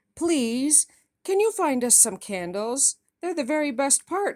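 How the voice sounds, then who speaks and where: In a put-on character voice, a female-sounding speaker with a high pitch talks at a fairly slow pace over a very clean recording with a silent background. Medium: read story.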